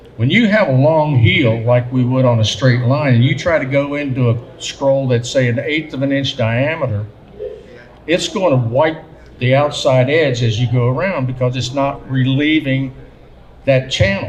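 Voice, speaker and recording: A man with an American accent talks at a moderate pace in a medium pitch, with audible echo from the room. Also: ordinary pitch variation. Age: 60s. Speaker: engraver and artist giving a seminar. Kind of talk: seminar talk. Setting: seminar at a gunmakers fair. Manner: conversational, with some hesitations.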